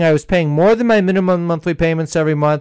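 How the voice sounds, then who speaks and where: A fairly quick man at a fairly high pitch with ordinary pitch variation, in a very clean recording with a silent background. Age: 60s. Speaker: radio show host. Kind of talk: casual panel chat. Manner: halting.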